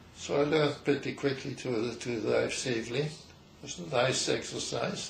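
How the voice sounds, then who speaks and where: Noticeable background noise runs under speech delivered at a moderate pace with ordinary pitch variation. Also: man, medium pitch for a man. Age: 90s. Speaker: geologist, emeritus professor. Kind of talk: interview answer.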